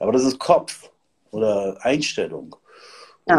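This man speaks very slowly. His pace stays very slow throughout. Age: 50s. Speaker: host of an expert talk on hormones. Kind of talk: casual livestream talk.

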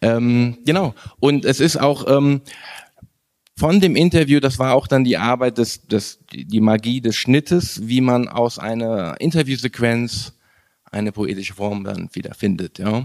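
A man's normal speaking voice at medium pitch, fairly slow in pace and lively in intonation. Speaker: filmmaker. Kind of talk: interview.

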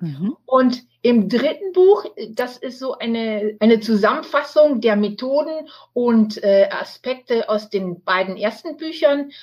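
At a very slow pace, a woman talks in a high-pitched voice. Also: lively intonation. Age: 60s. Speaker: cancer survivor and author. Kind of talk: interview. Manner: hesitant with fillers.

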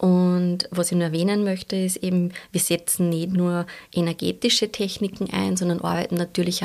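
Monotone, flat intonation from a woman with a fairly low pitch, moderate pace, very clean recording and a silent background. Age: 40s. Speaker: shiatsu practitioner. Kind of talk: interview.

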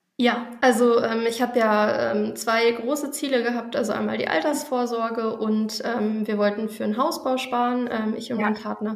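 This woman talks at a moderate pace with a fairly high pitch and fairly even intonation. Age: 20s. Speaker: junior doctor, course participant. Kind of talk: interview. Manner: hesitant, many filler sounds.

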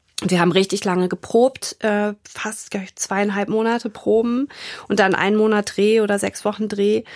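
A woman talks at a moderate pace with a medium pitch and monotone, flat intonation. The sound is dry and close, with no echo. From Germany, Frankfurt area. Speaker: grief counselor, former model and actress. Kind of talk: interview conversation.

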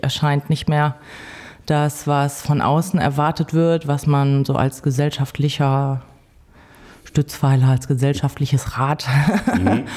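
Speaking at a fairly slow pace, a woman has a very deep, low pitch and a dark, mellow tone. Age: 40s. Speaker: homemaker, DJ and bassist. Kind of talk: casual interview. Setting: office studio.

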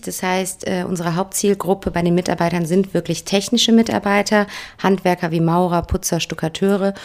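At a moderate pace, a woman with an ordinary speaking voice keeps a medium pitch and fairly even intonation. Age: 30s. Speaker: HR manager at a franchise company. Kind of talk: podcast interview.

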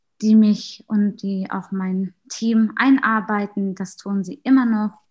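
Speaking very slowly, a woman uses a medium-pitched, somewhat breathy voice with fairly even intonation. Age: 20s. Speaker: student and youth group leader. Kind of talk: casual self-introduction. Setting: video call.

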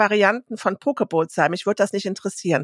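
The recording of this woman at a medium pitch is very clean, with a silent background and a dry, close sound with no echo. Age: 50s. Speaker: podcast co-host. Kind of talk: casual chat. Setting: studio.

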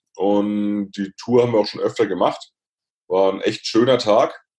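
A man with a normal speaking voice, fairly even intonation and a moderate pace. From Lower Franconia, Bavaria (near Würzburg). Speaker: motivational speaker. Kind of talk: interview.

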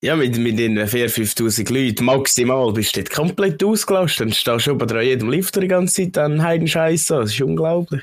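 With a Swiss accent, the speech moves at a fairly quick pace with hardly any pauses. Pitch swings very widely. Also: man, medium pitch for a man. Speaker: podcast co-host. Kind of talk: casual chat.

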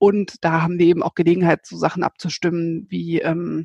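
Recorded with dry, close sound and no echo, a woman has a plain, everyday voice and speaks at a moderate pace. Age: 30s. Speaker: managing director of a local online news platform. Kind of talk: interview. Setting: remote call from home office.

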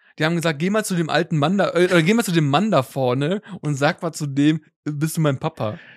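An ordinary speaking voice from a man, fairly high in pitch with ordinary pitch variation, at a fairly quick pace, dry and close with no echo in a very clean recording with a silent background. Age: 30s. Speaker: tech podcast host. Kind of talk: casual chat.

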